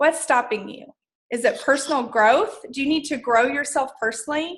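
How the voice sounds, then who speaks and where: A woman with a bright, sharp tone. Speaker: network marketing team leader. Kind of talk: team training talk. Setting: video call. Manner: animated.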